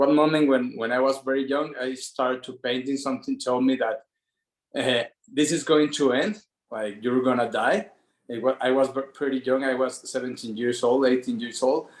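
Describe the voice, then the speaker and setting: Speaking in a Spanish accent at a moderate pace, a man keeps a medium pitch and fairly even intonation. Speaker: artist. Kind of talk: personal story on group call. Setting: video call. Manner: halting.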